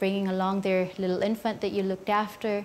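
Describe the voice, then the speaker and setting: The speaker talks at a moderate pace with a Filipino accent. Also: woman. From Philippines. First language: Filipino language. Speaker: neonatal nurse. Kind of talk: interview. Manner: quiet demeanor.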